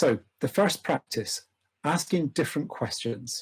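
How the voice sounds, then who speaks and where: A man with a British accent speaks at a fairly slow pace in a fairly high pitch, somewhat breathy, with lively intonation and a dry, close sound with no echo. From UK. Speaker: organization development practitioner. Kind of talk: lecture. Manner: formal.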